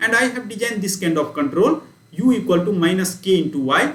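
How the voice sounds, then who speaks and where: Amid noticeable background noise, a man speaks with a high pitch and lively intonation. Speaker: university lecturer. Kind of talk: lecture. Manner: fast.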